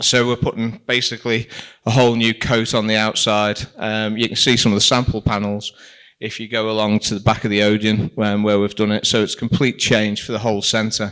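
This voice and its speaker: Speaking at a fairly quick pace, a man with a fairly low pitch keeps a monotone, flat intonation on a very clean recording with a silent background. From Liverpool, England. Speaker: shopping centre director. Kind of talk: presentation. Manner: casual, with frequent fillers.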